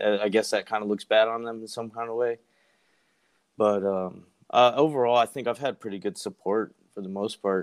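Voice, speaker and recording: A man's unremarkable speaking voice at medium pitch, with fairly even intonation and big swings in loudness. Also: moderate pace. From rural US. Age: 20s. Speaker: navy sailor. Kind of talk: casual chat. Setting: remote call.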